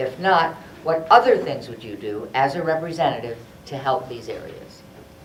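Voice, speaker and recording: Moderate pace over noticeable background noise. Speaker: forum moderator. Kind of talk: reading questions. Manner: loud.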